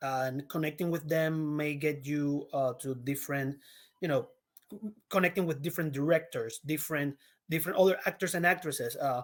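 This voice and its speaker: A man with a Puerto Rican accent speaks at a fairly high pitch, his intonation fairly even and his pace fairly quick. The recording is very clean, with a silent background. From Puerto Rico. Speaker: actor. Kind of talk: interview. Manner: halting.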